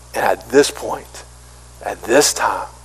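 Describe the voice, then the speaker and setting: A voice with a Southern US accent, under noticeable background noise. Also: man. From US South, small-town South Carolina. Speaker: pastor. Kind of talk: sermon. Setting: church.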